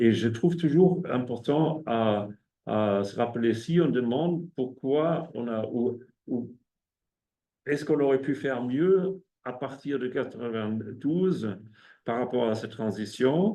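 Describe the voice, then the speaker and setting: With a German accent, a man speaks very slowly at a medium pitch, his dark, mellow tone carrying lively intonation between long, frequent pauses. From Germany. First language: German (speaking French). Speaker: ecologist and researcher. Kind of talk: academic seminar talk. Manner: halting, many hesitations and repetitions.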